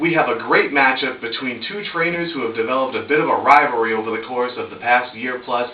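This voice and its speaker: Man's medium-pitched, energetic voice at a very fast pace, hardly any pauses, ordinary pitch variation, noticeable background noise. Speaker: esports commentator. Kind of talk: esports play-by-play commentary. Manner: energetic, fast-paced.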